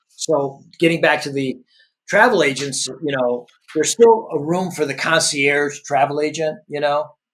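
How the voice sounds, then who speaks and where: In a plain, everyday voice, a man with an American accent speaks at a moderate pace and a fairly high pitch with ordinary pitch variation. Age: 60s. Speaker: entrepreneur and business executive. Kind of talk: podcast interview conversation. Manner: conversational, many filler words and restarts.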